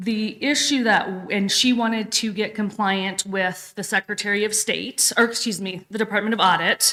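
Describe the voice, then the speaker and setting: An unremarkable speaking voice with fairly even intonation, delivered at a moderate pace. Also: woman. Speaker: county staff presenting to commissioners. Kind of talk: government work session briefing.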